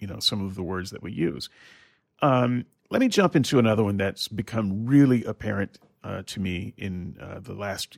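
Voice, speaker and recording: A man's fairly low voice with lively intonation at a moderate pace, dry and close with no echo, in a very clean recording over a silent background. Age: 50s. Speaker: podcast host, former preacher. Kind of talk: casual chat.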